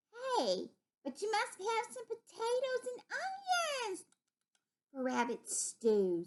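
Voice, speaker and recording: A put-on character voice from a woman, squeaky and extremely high-pitched, at a fairly slow pace with long, frequent pauses. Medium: read story. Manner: innocent-sounding, sly.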